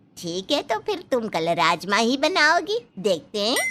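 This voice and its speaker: At a moderate pace, a woman puts on a cartoonish character voice with a fairly high pitch, very wide pitch swings and very even loudness. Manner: bossy, blunt.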